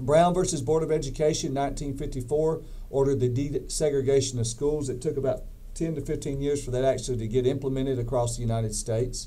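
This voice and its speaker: Speaking very fast with a Southern US accent, a man keeps his intonation fairly even at a fairly high pitch. The room echo is audible. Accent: Southern US (Georgia). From US South, Georgia. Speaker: professor. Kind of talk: lecture. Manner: halting, with repeated words.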